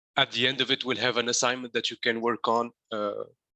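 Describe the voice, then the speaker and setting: A bright, sharp voice with a Tunisian accent holds a monotone, flat intonation. The sound is dry and close with no echo, over a quiet background. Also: man. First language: Arabic. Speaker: coding instructor. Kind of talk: lecture. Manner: halting, many fillers.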